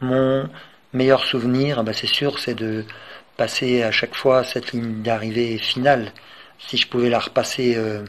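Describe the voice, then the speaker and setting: The man's intonation is monotone and flat. He speaks fairly slowly, at a medium pitch. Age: 60s. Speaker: retired cook and veteran ultramarathon runner. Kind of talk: personal testimony. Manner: hesitant, many filler sounds.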